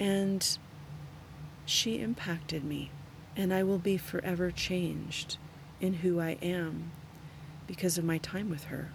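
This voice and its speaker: A woman speaks at a fairly slow pace, her voice somewhat breathy and fairly low in pitch. Her speech has long, frequent pauses. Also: ordinary pitch variation. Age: 50s. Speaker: yoga teacher and podcast host. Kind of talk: solo reflective monologue.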